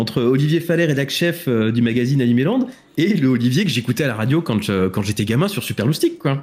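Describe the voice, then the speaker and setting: Somewhat breathy and fairly high in pitch, a man speaks at a very fast pace. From France, Île-de-France (Essonne). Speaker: podcast host. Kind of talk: casual chat. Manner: halting.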